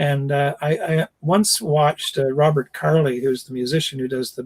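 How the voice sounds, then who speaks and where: A man with a Canadian accent and a fairly high pitch sounds somewhat breathy, speaks at a moderate pace with ordinary pitch variation, and the sound is dry and close with no echo. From Canada. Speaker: actor. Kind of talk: casual chat.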